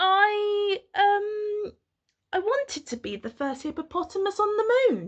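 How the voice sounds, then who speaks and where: Putting on a squeaky character voice, a woman speaks fairly slowly at an extremely high pitch. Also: ordinary pitch variation. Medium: read story.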